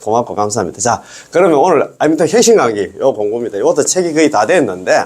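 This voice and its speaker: Over noticeable background noise, a man talks at a fairly quick pace. His pitch swings very widely. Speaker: Buddhist dharma teacher. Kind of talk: lecture. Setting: recorded video lecture. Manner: casual; animated.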